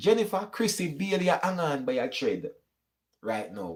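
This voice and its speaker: With a Jamaican accent, a man speaks in an animated tone, high-pitched for a man, with lively intonation. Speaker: YouTube commentator. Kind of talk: live stream chat reading comments.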